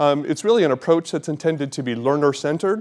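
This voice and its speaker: Very fast and fairly high-pitched, a man talks in an American accent with ordinary pitch variation. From Nebraska, US Midwest. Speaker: physician educator. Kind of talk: lecture. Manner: halting, many fillers.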